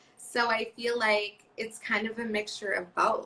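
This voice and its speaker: A woman talks loudly in an excited tone. Her voice is fairly high, bright and sharp. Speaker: social media coach. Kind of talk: interview conversation. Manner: loud and excited.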